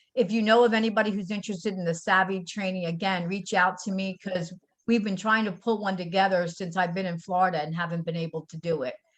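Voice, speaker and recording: A woman at a medium pitch, an unremarkable speaking voice with fairly even intonation. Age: 60s. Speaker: caregiver support group leader. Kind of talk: casual presentation.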